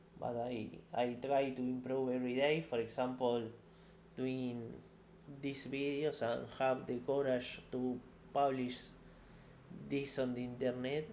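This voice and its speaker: Speaking at a fairly slow pace with long, frequent pauses, a man talks in a monotone, flat intonation amid audible room echo. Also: medium pitch for a man. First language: not English. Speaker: tech career YouTuber. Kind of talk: casual monologue answering viewer questions. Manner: halting, many repetitions.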